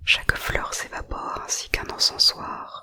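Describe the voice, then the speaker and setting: A woman whispering at a very slow pace. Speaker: ASMR creator. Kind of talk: whispered poetry reading. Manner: whispered.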